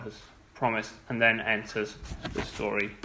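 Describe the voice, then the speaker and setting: A man with a bright, sharp tone speaks at a moderate pace amid audible room echo. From England, moved to Wales. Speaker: church speaker. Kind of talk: sermon. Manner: halting, with fillers.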